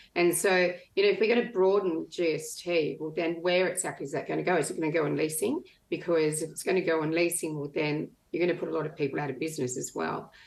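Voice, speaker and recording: The speaker talks at a very fast pace in an Australian accent. The intonation stays fairly even. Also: woman, fairly low pitch for a woman. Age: 60s. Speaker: retired business owner. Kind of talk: panel discussion.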